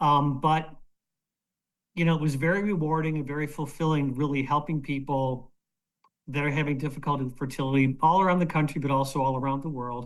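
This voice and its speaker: A man with an unremarkable speaking voice talks at a fairly quick pace, with a fairly high pitch and fairly even intonation. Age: 60s. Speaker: retired fertility doctor. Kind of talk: panel interview on video call. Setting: video call.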